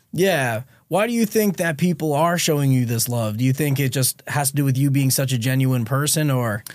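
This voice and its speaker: This is a plain, everyday voice with lively intonation at a fairly quick pace. Loudness stays very even on a very clean recording with a silent background. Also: man, fairly high pitch for a man. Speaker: podcast host. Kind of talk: podcast interview.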